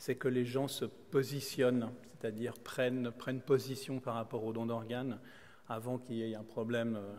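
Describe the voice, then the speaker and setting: In a Swiss accent, a man speaks at a medium pitch and a moderate pace with monotone, flat intonation. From Switzerland. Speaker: kidney transplant recipient and solo sailor. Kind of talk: conference talk. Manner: halting, many repetitions and hesitations.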